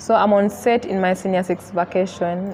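The speech moves at a moderate pace. Light background noise can be heard. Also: woman. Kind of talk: interview answer. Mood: relaxed, storytelling. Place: hall. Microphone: lapel.

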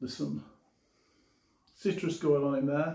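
With audible room echo, the slow, dark, mellow voice shows vocal fry and little pitch movement. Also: man, fairly high pitch for a man.

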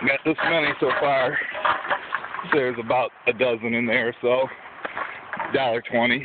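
A man's voice in a dry sound with no echo, amid loud background noise. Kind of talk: casual vlog chat. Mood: relaxed, joking. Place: street. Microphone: phone near.

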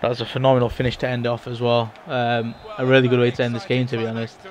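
Noticeable background noise sits under a man speaking at a fairly quick pace, medium in pitch with fairly even intonation. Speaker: gaming YouTuber. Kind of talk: video game review and gameplay commentary. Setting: home recording over game footage.

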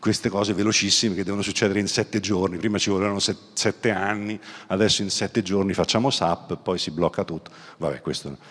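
Against a quiet background, a man with a very deep, low voice speaks fairly quickly with fairly even intonation. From southern Italy. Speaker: business executive and author; guest. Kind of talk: keynote talk. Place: hall. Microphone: handheld.

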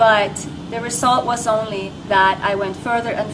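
A woman speaks with a Norwegian accent. Noticeable background noise runs underneath. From Norway. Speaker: network marketer. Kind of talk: testimony. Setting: home. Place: hall. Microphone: camera far.

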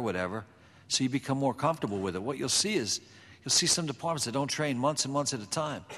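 Pitch movement in this man's speech is typical, neither flat nor exaggerated. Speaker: fire service safety panelist. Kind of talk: panel discussion. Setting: stage with audience. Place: hall. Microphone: podium.

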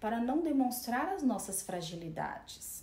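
A woman speaks with audible room echo around her. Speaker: speaker. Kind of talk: lecture. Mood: calm, reflective. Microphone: phone near.

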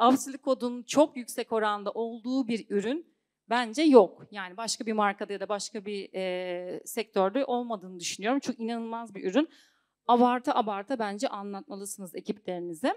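The woman's pitch is fairly high, with ordinary variation. She talks at a moderate pace against a quiet background. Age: 30s. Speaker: singer and network marketing seller; network marketing seller. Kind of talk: sales seminar talk. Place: hall. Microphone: handheld.

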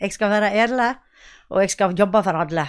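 A woman speaks at a fairly quick pace with fairly even intonation against a quiet background. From western Norway, Sogn; western Norway. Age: 50s. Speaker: local politician. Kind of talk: interview. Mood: earnest, campaigning. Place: home room. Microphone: handheld.

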